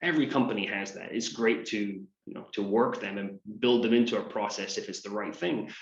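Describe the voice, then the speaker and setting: In a Scottish accent, a man speaks at a fairly quick pace with a fairly low pitch. His intonation stays fairly even, and room echo is audible. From Scotland, Aberdeen. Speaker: business coach. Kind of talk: interview.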